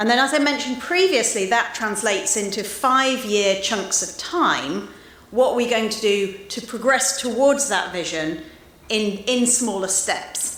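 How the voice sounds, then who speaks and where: A woman with a British accent speaks at a fairly high pitch and a fairly slow pace, her intonation lively. Audible room echo and noticeable background noise are present. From UK. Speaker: association president. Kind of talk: speech. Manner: some hesitations.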